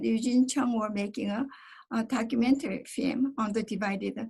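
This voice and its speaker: At a moderate pace, a woman talks in a high pitch with fairly even intonation. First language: Korean. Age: 70s. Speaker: member of a divided family, panelist. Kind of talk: personal testimony. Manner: halting, many fillers.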